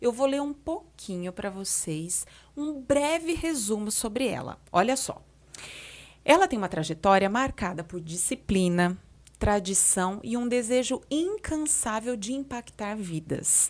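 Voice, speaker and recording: A woman's fairly high voice at a fairly slow pace with very wide pitch swings, on a very clean recording with a silent background. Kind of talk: podcast host introduction.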